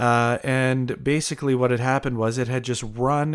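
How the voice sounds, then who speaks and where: An ordinary speaking voice with a Canadian accent at a moderate pace, in a very clean recording over a silent background. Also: man. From Canada, Windsor, Ontario. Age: 30s. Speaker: airline pilot and musician. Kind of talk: interview storytelling.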